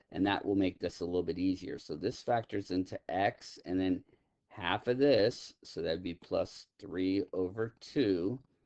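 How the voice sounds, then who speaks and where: At a fairly slow pace, a man speaks in a plain, everyday voice with a fairly low pitch and ordinary pitch variation, with a dry, close sound and no echo. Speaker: math teacher. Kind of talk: lecture.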